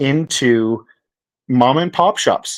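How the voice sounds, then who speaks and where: With a Canadian accent, this is an ordinary speaking voice with ordinary pitch variation, heard on a very clean recording with a silent background. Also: man. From Canada. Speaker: crypto project founder. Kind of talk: casual interview chat.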